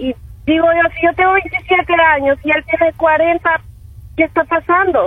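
At a fairly slow pace, a woman speaks with extremely high pitch, ordinary pitch variation and very even loudness. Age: 20s. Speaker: radio caller. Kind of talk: call-in opinion. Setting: phone call.

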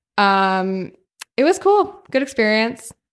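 The woman's voice is fairly high and her delivery fairly slow. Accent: Californian. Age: 20s. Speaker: DJ and law student. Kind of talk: casual chat.

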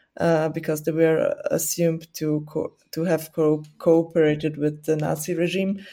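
A woman with a Burgenland accent speaks fairly slowly at a fairly low pitch, her tone dark and mellow and her intonation monotone and flat, on a very clean recording with a silent background. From Burgenland, Austria. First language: Burgenland Croatian. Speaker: student and newspaper editor. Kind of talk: casual interview.

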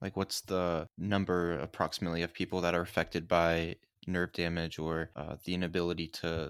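At a fairly quick pace, a man with a very deep, low voice is heard on a very clean, dry, close recording with a silent background and no echo. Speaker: podcast co-host. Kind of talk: casual interview chat.

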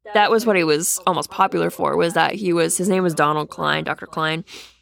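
Over a very clean recording with a silent background, a woman with an American accent speaks with fairly even intonation. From Massachusetts (Boston area). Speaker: podcast co-host. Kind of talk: casual chat.

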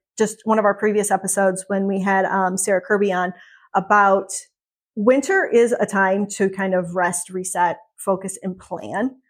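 On a very clean recording with a silent background, a woman with a medium pitch and an ordinary speaking voice talks at a moderate pace. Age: 40s. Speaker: podcast co-host and wellness entrepreneur. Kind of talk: casual chat. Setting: studio.

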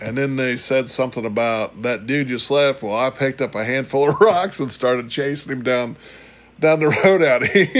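An unremarkable speaking voice from a man, pitched at a medium level. He talks at a moderate pace with ordinary pitch variation. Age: 50s. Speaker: podcast co-host. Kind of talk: casual chat.

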